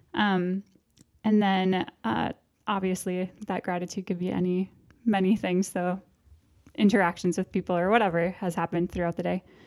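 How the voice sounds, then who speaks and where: With an American accent, a woman speaks at a moderate pace in a medium pitch with fairly even intonation and long, frequent pauses, the sound dry and close with no echo. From northern Minnesota, US. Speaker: religious sister. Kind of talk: casual chat.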